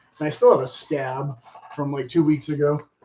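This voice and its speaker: A man talking at a fairly quick pace. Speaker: menswear style vlogger. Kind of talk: casual show and tell vlog. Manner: fast; casual, filler-heavy.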